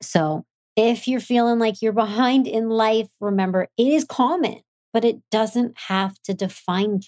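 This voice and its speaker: A woman's fairly high voice, a normal speaking voice, at a fairly slow pace with ordinary pitch variation. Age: 30s. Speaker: podcast host and entrepreneur. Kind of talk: solo motivational talk. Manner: upbeat.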